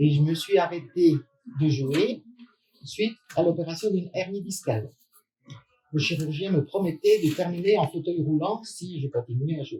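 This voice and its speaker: A woman's fairly low, somewhat breathy voice with a dark, mellow tone, a fairly slow pace and long, frequent pauses. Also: ordinary pitch variation. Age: 70s. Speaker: former basketball player. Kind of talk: interview.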